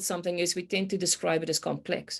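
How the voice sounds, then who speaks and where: A woman speaks in a South African accent. The recording is very clean, with a silent background. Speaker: complexity consultant, meteorologist by training. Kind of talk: podcast interview. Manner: hesitant, many fillers.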